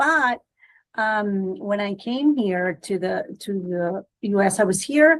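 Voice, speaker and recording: Lively intonation marks this voice, spoken with a Spanish accent. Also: woman. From Guatemala. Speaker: immigration lawyer. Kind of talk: podcast interview. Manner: hesitant, many fillers and restarts.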